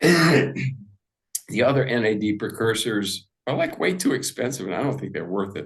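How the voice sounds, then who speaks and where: A man's medium-pitched, somewhat breathy voice at a fairly slow pace with hardly any pauses. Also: lively intonation. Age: 70s. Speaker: integrative medicine doctor. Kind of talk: interview. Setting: podcast interview. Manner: casual, with many fillers.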